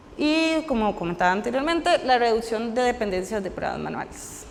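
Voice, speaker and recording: This woman speaks at a high pitch with lively intonation and a moderate pace. Noticeable background noise is present. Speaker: software engineer giving a conference talk. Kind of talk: technical talk at a meetup.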